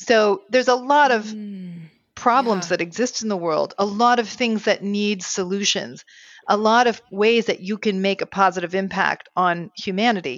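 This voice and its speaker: A woman at medium pitch and a moderate pace with ordinary pitch variation, an ordinary speaking voice. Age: 50s. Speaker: marriage therapist. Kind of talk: interview.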